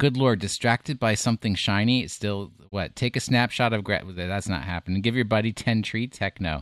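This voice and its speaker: A man with fairly low pitch and ordinary pitch variation, fairly quick and with hardly any pauses, in a dry, close sound with no echo and a very clean recording with a silent background. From US, New York. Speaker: podcast co-host. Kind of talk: casual chat.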